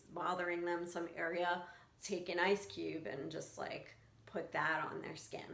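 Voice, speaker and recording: A woman with a New York accent speaks at a fairly slow pace and fairly low pitch. Audible room echo is present. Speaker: skin picking coach. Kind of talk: casual tutorial. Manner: casual, hesitant with fillers.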